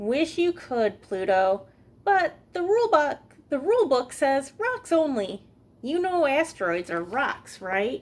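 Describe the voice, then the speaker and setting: A woman puts on a character voice, high in pitch. She speaks at a fairly slow pace with very wide pitch swings. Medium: read story.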